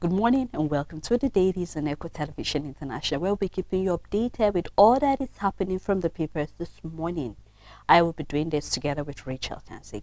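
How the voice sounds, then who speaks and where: Using a put-on character voice, a hoarse woman speaks at a very fast pace and a fairly low pitch in a very clean recording with a silent background. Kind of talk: television news presenter greeting.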